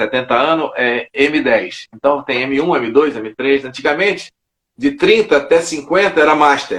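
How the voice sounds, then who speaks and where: An unremarkable speaking voice, this man has a fairly high pitch. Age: 60s. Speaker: judo master. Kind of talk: interview.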